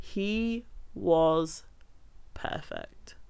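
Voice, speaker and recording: A woman with an English accent speaks at a medium pitch in a very clean recording with a silent background. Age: 20s. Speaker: podcast host, nanny. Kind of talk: casual storytelling monologue.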